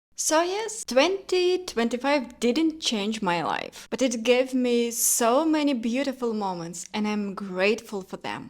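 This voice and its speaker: With a non-native accent, a woman talks at a fairly slow pace and a high pitch, her pitch swinging very widely and hardly pausing at all. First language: not English. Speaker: lifestyle vlogger. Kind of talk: personal reflection vlog.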